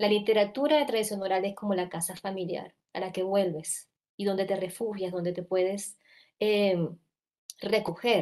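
A woman speaks at a moderate pace over a quiet background. Her intonation stays fairly even. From coastal Venezuela. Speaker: children's literature researcher and author; speaker. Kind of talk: panel discussion. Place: home room. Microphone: earbuds.

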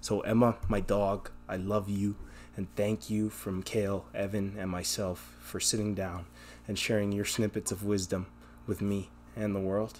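In a Canadian accent, a man with a fairly low pitch speaks fairly slowly with lively intonation over light background noise. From Calgary, Canada. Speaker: podcast host. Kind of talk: casual chat. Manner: animated. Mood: warm, affectionate. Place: home room.

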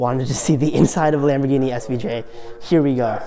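The speech moves at a very fast pace. Light background noise can be heard. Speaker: car vlogger. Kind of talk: casual vlog commentary. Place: garage. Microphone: lapel.

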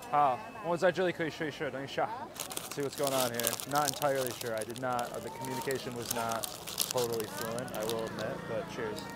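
Quiet, upbeat man at a fairly quick pace, dry sound with no echo, loud background noise behind him. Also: medium pitch for a man, ordinary pitch variation. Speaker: travel vlogger. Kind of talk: travel vlog narration. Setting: outdoors. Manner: quieter in residential areas; casual, upbeat. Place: street. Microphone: lapel.

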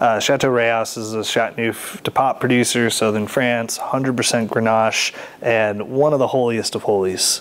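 In an American accent, a man is talking. The intonation stays monotone and flat. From California. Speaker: sommelier; interviewee. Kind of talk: interview. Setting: wine bar or shop. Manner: casual. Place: shop. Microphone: lapel.

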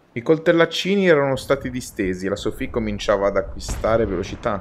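A man talks fairly quickly. Music runs in the background. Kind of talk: audiobook-style reading aloud of a naval adventure novel. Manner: brisk, urgent narration with mounting tension during the battle.

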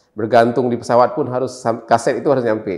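At a moderate pace, a man talks in a medium pitch with a quiet background. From Indonesia, North Aceh; Indonesia. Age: 50s. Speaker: journalist. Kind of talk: interview storytelling. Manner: hesitant with many fillers. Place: studio.

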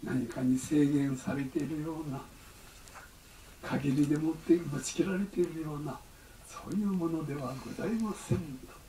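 Light background noise and audible room echo surround a man with a fairly high pitch. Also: ordinary pitch variation, moderate pace. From Japan. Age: 80s+. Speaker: Zen abbot. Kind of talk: dharma talk. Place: church. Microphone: camera far.

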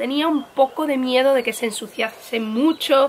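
A woman with vocal fry at a moderate pace, ordinary pitch variation, and faint background noise

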